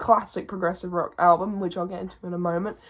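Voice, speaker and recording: Delivered in a monotone with flat intonation, the words come out at a very fast pace. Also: woman. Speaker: music reviewer. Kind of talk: album review vlog.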